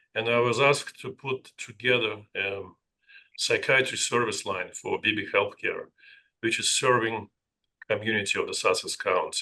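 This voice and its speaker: A man with a non-native accent speaks with long, frequent pauses. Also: moderate pace. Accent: noticeable foreign. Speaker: psychiatrist. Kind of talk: lecture. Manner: halting, with many filler sounds.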